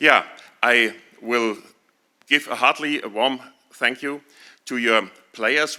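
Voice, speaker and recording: In a German accent, a man talks at a fairly slow pace with a medium pitch, fairly even intonation and a bright, sharp tone. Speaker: town mayor. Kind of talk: ceremonial speech. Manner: halting.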